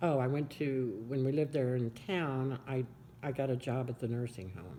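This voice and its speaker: A woman with a Midwestern American accent, a very deep, low pitch and a dark, mellow tone, at a moderate pace with ordinary pitch variation. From Kansas, US. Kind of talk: oral history interview answer.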